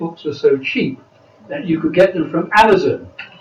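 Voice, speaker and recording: Noticeable background noise sits behind this recording. A man speaks at a moderate pace with a high pitch. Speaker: political party speaker. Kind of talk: panel speech.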